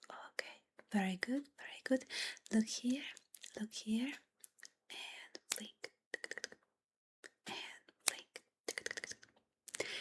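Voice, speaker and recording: The speaker is whispering. Long, frequent pauses break up the speech. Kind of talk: ASMR follow-my-instructions, soft-spoken guidance to the viewer. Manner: whispery, soft-spoken.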